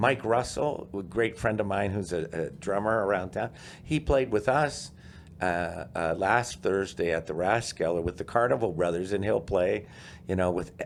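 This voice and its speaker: Using an ordinary speaking voice with an American accent, a man speaks at a fairly low pitch and a moderate pace with lively intonation. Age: 50s. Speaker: musician and podcaster. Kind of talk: casual interview chat.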